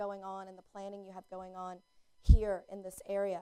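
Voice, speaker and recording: With a Southern US accent, a woman speaks at a moderate pace in a dark, mellow tone. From US South, North Carolina. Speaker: placemaking consultant, keynote speaker. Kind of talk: public talk.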